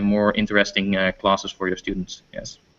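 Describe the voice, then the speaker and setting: This is a man speaking. He has a Dutch accent. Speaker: teacher. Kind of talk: interview. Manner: halting.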